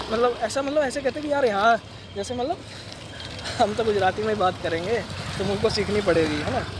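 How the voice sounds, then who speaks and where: Through noticeable background noise, a man with a Punjabi accent talks at a moderate pace in a high voice with ordinary pitch variation. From Punjab, India. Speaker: vlogger. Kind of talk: casual vlog. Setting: outdoors, riding on the road. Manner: conversational, with fillers and Hindi-English mixing.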